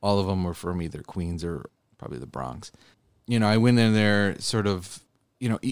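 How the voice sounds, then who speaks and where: A man with an American accent talks at a very fast pace. His pitch is fairly low and his intonation lively. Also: very clean recording, silent background. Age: 30s. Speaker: state legislator. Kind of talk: interview.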